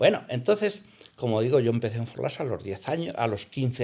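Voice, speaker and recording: At a fairly quick pace, a medium-pitched man talks on a very clean recording with a silent background. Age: 60s. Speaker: hotel owner. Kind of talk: interview. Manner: halting, many fillers.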